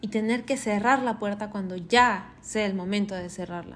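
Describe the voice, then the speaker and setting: A woman speaks in an animated tone. Her pitch is fairly high. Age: 30s. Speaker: podcast host. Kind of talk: casual monologue.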